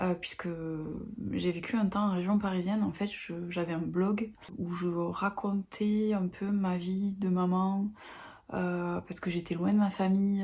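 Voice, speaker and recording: With a dark, mellow tone, a woman speaks fairly slowly in a monotone, flat intonation, her medium-pitched voice somewhat breathy. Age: 40s. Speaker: book vlogger. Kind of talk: casual vlog talk to camera. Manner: halting, many hesitations.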